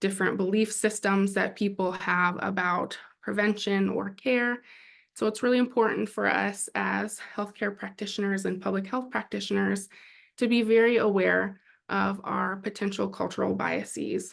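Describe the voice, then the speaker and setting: Speaking at a moderate pace, a woman is heard against a quiet background. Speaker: health sciences presenter. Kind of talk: lecture.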